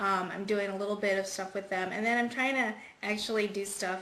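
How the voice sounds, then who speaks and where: A woman speaks with fairly even intonation. There is audible echo in the room. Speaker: cancer survivor and singer. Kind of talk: interview.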